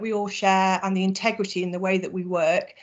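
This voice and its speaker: Over a quiet background, a woman moves along at a fairly quick pace. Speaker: charity sector presenter. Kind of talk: webinar presentation. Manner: fast.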